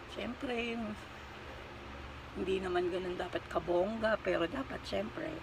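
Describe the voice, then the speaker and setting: Over noticeable background noise, a woman at a medium pitch speaks fairly slowly with lively intonation and long, frequent pauses. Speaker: vlogger. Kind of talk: makeup tutorial. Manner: deliberately quieter than usual; casual, chatty.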